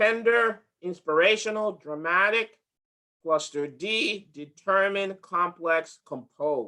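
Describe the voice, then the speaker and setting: In a raised, projected voice with a bright, sharp tone, the speaker goes at a very slow pace with ordinary pitch variation. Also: man, high pitch for a man. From from another country, not US-born. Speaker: HR director leading a workshop. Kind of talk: interactive workshop presentation. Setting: video call with screen share.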